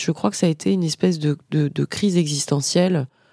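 A woman speaks with a very deep, low pitch and a dark, mellow tone. The sound is dry and close, with no echo. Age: 40s. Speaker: business owner and podcaster. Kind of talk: interview. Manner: hesitant.

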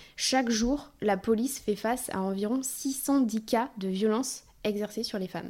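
Speaking at a fairly slow pace, a woman has a fairly high pitch, fairly even intonation and an unremarkable speaking voice. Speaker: podcast host. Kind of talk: podcast interview, intro narration.

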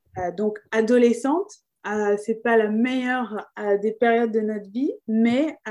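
A woman talks at a fairly slow pace with a fairly high pitch and ordinary pitch variation. Her tone is dark and mellow. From France. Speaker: improv theatre company founder. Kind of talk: interview.

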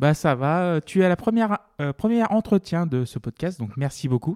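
Fairly high-pitched man at a moderate pace with lively intonation and an unremarkable speaking voice, in a very clean recording with a silent background and a dry, close sound with no echo. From France, Loire. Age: 30s. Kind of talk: scripted narration; casual interview.

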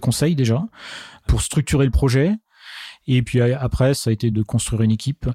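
A man's medium-pitched, dark, mellow, somewhat breathy voice at a fairly quick pace, with ordinary pitch variation and a dry, close sound with no echo on a very clean recording with a silent background. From Marne, Champagne-Ardenne, France. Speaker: drone company founder. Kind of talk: interview. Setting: apartment recording.

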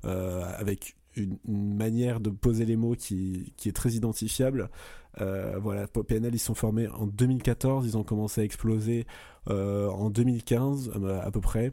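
A man's dark, mellow tone, very slow pace and fairly even intonation. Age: 20s. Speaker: podcast co-host. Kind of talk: casual chat. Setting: remote recording.

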